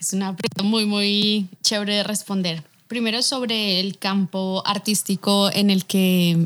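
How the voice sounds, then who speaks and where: A woman uses a normal speaking voice at medium pitch with fairly even intonation. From Bogotá, Colombia. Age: 20s. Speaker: illustrator. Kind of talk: interview conversation.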